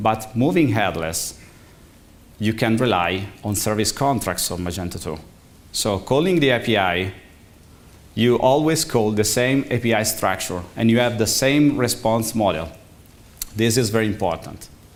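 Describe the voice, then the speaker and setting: With an Italian accent, a man speaks at a medium pitch and moderate pace with ordinary pitch variation and long, frequent pauses, in audible room echo. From Italy. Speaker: conference speaker, tech executive. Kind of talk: conference talk. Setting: stage with audience. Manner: halting.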